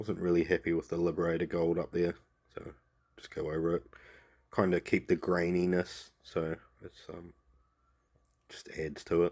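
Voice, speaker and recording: In a New Zealand accent, the speaker talks at a moderate pace with monotone, flat intonation and big swings in loudness. Long pauses come often. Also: man, very deep, low pitch for a man. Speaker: miniature painting tutor. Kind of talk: tutorial. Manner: casual.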